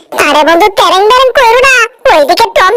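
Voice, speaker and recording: Someone speaks in a put-on character voice pitched extremely high. The pace is moderate. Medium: fan dub.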